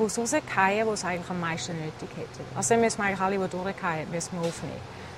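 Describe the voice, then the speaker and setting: Over noticeable background noise, a woman talks at a fairly quick pace and a medium pitch. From eastern Switzerland, St. Gallen. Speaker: restaurant founder. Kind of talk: interview.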